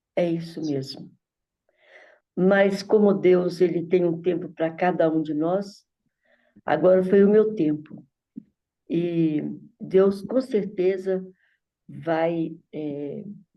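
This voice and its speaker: A woman's fairly low voice at a very slow pace, broken by long, frequent pauses. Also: fairly even intonation. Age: 70s. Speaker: church member in a study group. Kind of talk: group Bible study discussion.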